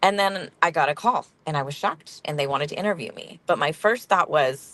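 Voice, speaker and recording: At a fairly quick pace, a woman with a normal speaking voice talks with lively intonation. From central coast California, rural. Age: 40s. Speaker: social work professor. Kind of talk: interview.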